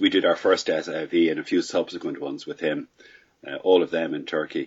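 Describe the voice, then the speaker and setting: A speaker with a Dublin accent talks at a moderate pace. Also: man. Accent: Irish (Dublin). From Ireland, Dublin. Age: 60s. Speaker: paragliding pilot. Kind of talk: casual interview answers.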